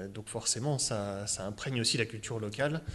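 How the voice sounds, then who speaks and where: A man speaks at a medium pitch and a moderate pace. His pitch variation is ordinary, and the background is quiet. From Burgundy, Saône-et-Loire. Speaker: author and economics journalist. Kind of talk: interview. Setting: public event in a library with audience. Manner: hesitant, many repetitions.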